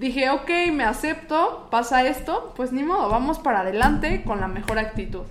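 With lively intonation and a high pitch, a woman speaks at a moderate pace over noticeable background noise and audible room echo. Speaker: radio announcer and podcaster. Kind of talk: casual chat. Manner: stronger, more formal announcer voice on podcast.

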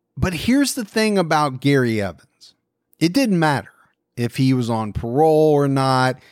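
On a very clean recording with a silent background, a man with an ordinary speaking voice talks at a moderate pace with lively intonation and a fairly high pitch. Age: 40s. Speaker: true crime podcast host. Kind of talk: casual chat.

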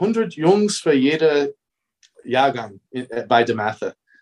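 A man with an American accent speaks at a fairly high pitch with lively intonation. The sound is dry and close, with no echo. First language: English (speaking German). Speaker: basketball coach. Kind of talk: interview.

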